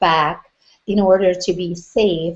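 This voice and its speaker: A woman speaks with a Hungarian accent at a medium pitch. Her pitch varies in an ordinary way. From Hungary. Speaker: business coach. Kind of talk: interview.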